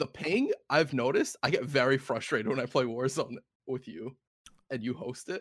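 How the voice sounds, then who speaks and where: Dry and close with no echo, an ordinary speaking voice belongs to a man with a medium pitch, an American accent, and ordinary pitch variation. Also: moderate pace. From New York. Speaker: podcast co-host. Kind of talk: casual chat.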